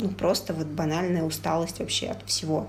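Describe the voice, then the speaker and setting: Noticeable background noise and audible room echo surround a woman's voice. Her pitch is fairly low and her pace fairly quick. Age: 20s. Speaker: podcast co-host. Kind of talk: casual chat. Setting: call.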